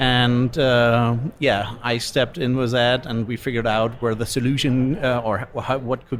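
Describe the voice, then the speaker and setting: Delivered at a moderate pace, the speech carries a strong German accent and fairly even intonation. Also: man. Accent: pronounced German. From Germany. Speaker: solar company executive. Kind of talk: interview. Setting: live event podcast lounge. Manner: hesitant, many fillers.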